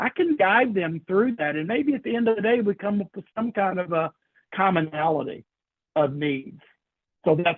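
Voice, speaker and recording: A man talks with a Kentucky accent. His intonation is lively. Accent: Kentucky Southern US. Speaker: senior living sales trainer. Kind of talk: training workshop lecture. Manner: informal, conversational.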